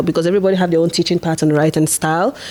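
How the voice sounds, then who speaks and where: With a Nigerian accent, a woman speaks at a fairly low pitch over noticeable background noise. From Nigeria, Igbo from the east. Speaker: international student and podcaster. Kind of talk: casual chat.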